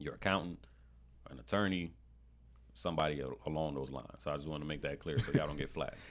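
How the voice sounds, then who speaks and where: A man with a New York accent speaks in a very deep, low voice with vocal fry and fairly even intonation. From Brooklyn, New York (born in Panama). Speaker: marketing specialist and real estate investor. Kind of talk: podcast interview. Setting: studio.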